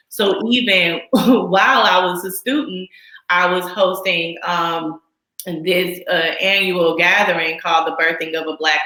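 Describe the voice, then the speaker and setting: In an American accent, a woman with an unremarkable speaking voice talks at a fairly slow pace and a fairly low pitch. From Texas. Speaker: midwife. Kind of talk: interview.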